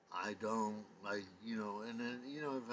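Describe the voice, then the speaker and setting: Audible room echo hangs around this man's voice. Noticeable background noise is present too. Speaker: vlogger. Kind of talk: casual monologue vlog. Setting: at home at night. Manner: hesitant, many fillers.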